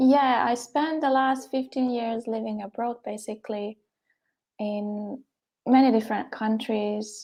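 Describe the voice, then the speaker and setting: Over a quiet background, a woman with a Hungarian accent speaks at a fairly slow pace, her fairly high voice dark and mellow in tone, with fairly even intonation. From Hungary. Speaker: poet. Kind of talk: interview. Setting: live stream.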